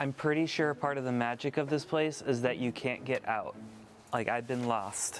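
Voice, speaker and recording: Music plays behind a man speaking at a moderate pace. His pitch is medium, with ordinary pitch variation. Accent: American. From United States. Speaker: travel vlogger. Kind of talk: travel vlog. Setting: outdoors.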